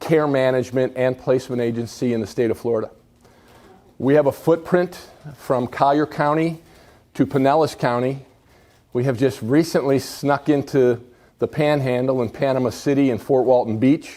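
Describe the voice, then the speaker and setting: A man speaks with a dark, mellow tone and an American accent, his intonation fairly even. The recording is very clean, with a silent background. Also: medium pitch for a man, moderate pace. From Buffalo, New York. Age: 60s. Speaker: senior care company executive. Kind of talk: public talk.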